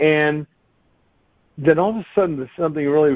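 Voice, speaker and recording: A man is speaking. His pace is fairly quick. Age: 60s. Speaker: author and bodybuilding trainer. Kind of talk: casual interview. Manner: conversational, filler-heavy.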